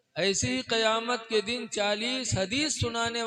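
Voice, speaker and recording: With noticeable background noise around him, a man uses a raised, projected voice at an extremely high pitch. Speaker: Islamic scholar (mufti) giving a religious sermon. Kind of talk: Islamic sermon (taqrir) delivered to a live audience. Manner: expressive, preacherly, call-and-response with audience.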